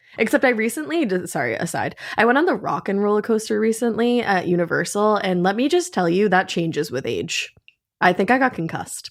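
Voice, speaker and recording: A woman with an American accent, a medium pitch and an animated tone, at a fairly quick pace, with very wide pitch swings. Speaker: podcast host. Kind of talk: casual chat.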